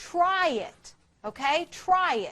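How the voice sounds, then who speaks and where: A loud woman's voice with lively intonation. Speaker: chemistry teacher. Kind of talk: lecture. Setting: classroom with students. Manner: intense, gets louder when excited.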